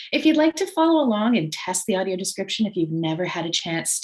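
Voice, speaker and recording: This woman sounds somewhat breathy. Her pitch swings very widely. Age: middle-aged. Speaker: webinar host. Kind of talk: online presentation introduction.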